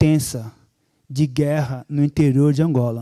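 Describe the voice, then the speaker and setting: A man speaks at a fairly slow pace and fairly high pitch with a dark, mellow tone. His intonation is fairly even, and the sound is dry and close with no echo. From Brazil, São Paulo (Angolan-born, moved at 8). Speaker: church speaker giving testimony. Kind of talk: testimony.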